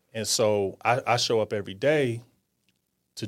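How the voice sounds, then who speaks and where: On a very clean recording with a silent background, a normal speaking voice moves at a fairly slow pace. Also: man. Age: 40s. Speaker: startup founder. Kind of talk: casual interview.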